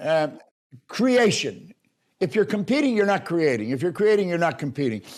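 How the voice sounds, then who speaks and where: A man at a fairly quick pace with very wide pitch swings, in a very clean recording against a silent background. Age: 80s+. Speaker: motivational speaker. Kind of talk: interview answer.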